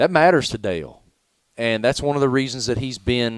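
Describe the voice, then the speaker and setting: Speaking in a Southern US accent, a man uses an animated tone, lively intonation and a medium pitch. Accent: Southern drawl. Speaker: sports journalist. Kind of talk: radio interview. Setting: broadcast from racetrack.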